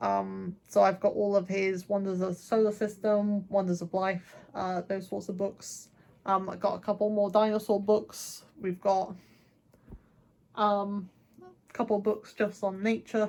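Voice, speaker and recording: Fairly slow and monotone, a woman speaks in a medium pitch with big swings in loudness. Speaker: book vlogger. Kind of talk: casual chat.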